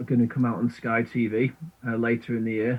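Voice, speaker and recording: A man at medium pitch and moderate pace, with a Manchester accent. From northern England, Manchester (Burnage). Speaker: filmmaker and musician. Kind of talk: casual radio interview. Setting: video call into radio studio. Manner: hesitant, many fillers and repetitions.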